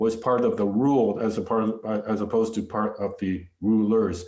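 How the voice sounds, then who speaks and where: A man with a Canadian accent speaks at a fairly quick pace in a dark, mellow tone. There is audible room echo. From Canada, Vancouver area (British Columbia). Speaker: visual artist. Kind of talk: lecture. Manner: halting, many fillers and restarts.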